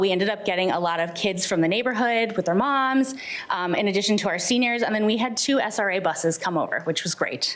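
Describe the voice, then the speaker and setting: A woman rattles off her words very fast with ordinary pitch variation, while noticeable background noise and audible echo from the room fill the recording. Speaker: senior center program staff. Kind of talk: presentation at public meeting. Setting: city hall board meeting. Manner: animated.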